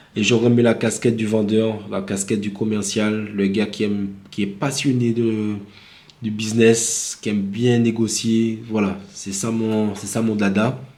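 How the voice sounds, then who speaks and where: In a Martinican accent, a man speaks fairly slowly with a dark, mellow tone, a fairly low pitch and monotone, flat intonation, and room echo can be heard. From Martinique. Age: 30s. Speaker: vlogger. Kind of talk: casual vlog monologue. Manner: improvised, hesitant with fillers.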